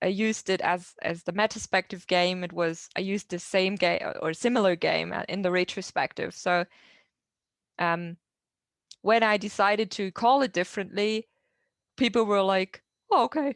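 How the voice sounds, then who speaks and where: In a German accent, a woman speaks with long, frequent pauses, the sound dry and close with no echo. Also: medium pitch for a woman, ordinary pitch variation, moderate pace. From southern Germany. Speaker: agile coach. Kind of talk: Q&A answer at online meetup. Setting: video call. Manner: halting.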